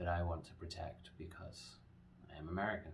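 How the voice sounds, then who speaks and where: Here a man with an English accent talks at a moderate pace in a very deep, low voice. Noticeable background noise and audible room echo are present. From England. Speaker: company founder pitching a manufacturing project. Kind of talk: promotional pitch. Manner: earnest, with frequent fillers.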